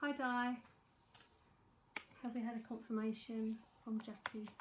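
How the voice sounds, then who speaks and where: In a London accent, a woman talks at a fairly high pitch and a fairly slow pace. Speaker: psychic tarot reader. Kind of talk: live-streamed tarot reading. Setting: live stream. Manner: casual, chatty.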